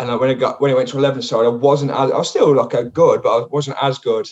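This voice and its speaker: Speaking very fast, a man talks with an English accent. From England. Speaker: comedian. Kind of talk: casual chat.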